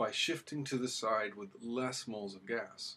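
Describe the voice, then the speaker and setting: A man is speaking. His pace is fairly slow. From US West Coast. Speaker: chemistry teacher. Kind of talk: lecture.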